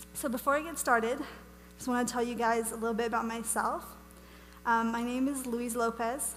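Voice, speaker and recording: Fairly quick, high-pitched speech from a woman, flat and monotone, broken by long, frequent pauses, with audible room echo and music in the background. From Wales. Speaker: ministry speaker. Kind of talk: teaching talk to church audience. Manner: casual, chatty.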